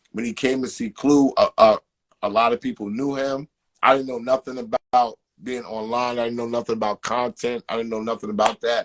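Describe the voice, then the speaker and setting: A man's medium-pitched voice with a New York accent. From Queens, New York. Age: 40s. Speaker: podcast co-host and manager. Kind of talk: interview. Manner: animated.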